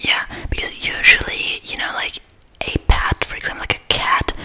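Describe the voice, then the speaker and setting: Whispering, a woman keeps to a moderate pace. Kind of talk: role-play chat to viewer. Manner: soft close-mic ASMR speaking. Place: home room. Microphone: studio mic.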